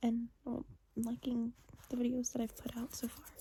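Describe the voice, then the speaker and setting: Soft-spoken and fairly slow, a woman talks in a high voice with a dark, mellow tone. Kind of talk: ASMR soft-spoken channel update.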